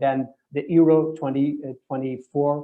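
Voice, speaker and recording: With a Portuguese accent, a man speaks at a fairly high pitch in a monotone, flat intonation. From Portugal. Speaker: property finder. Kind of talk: webinar Q&A. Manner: halting, many repetitions.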